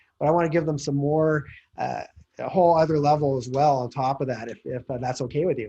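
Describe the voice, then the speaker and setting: A man's fairly high, dark and mellow voice at a very fast pace with fairly even intonation. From Calgary, Canada. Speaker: real estate investor. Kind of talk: interview pitch.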